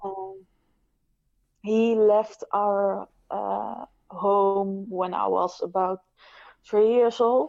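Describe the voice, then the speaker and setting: With a medium pitch and fairly even intonation, a woman talks at a very slow pace, pausing long and often. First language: not English. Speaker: abuse survivor, writer. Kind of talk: personal testimony. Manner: halting, many fillers.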